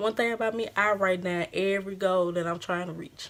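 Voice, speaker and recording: The speaker has a Louisiana accent. The pace is fairly quick. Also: woman. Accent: country Louisiana. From Louisiana, US South. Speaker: beauty vlogger. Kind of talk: casual chat. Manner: animated.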